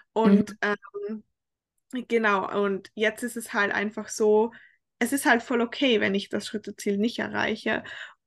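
In a dry, close sound with no echo, a woman speaks at a fairly slow pace with monotone, flat intonation. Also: fairly high pitch for a woman. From Austria, Tyrol. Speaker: fitness coaching client. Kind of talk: casual interview. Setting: remote call across time zones.

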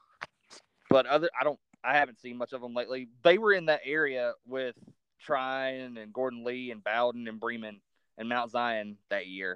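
This man has a Southern accent and a medium pitch. His pitch varies in an ordinary way, while his loudness swings a lot. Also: moderate pace. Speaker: podcast host. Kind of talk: casual interview.

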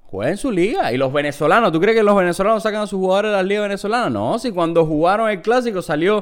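A man with a high pitch talks at a very fast pace. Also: ordinary pitch variation. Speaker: podcast co-host. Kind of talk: casual chat.

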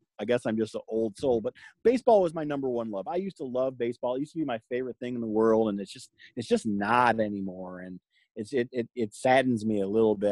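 A man with an American accent and a normal speaking voice talks at medium pitch and a fairly quick pace. The sound is dry and close with no echo, on a very clean recording with a silent background. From Michigan. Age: 40s. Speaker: sports handicapper. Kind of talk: casual chat.

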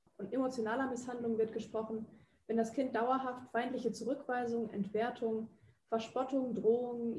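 Moving at a moderate pace, a woman speaks with a dark, mellow tone at a fairly high pitch. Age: 20s. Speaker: psychology student and podcast host. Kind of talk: scripted narration; interview questions.

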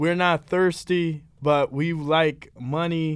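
A man's high pitch at a very slow pace, ordinary pitch variation, on a very clean recording with a silent background. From Philadelphia. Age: 20s. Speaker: podcast co-host, environmental activist. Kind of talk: casual chat. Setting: studio.

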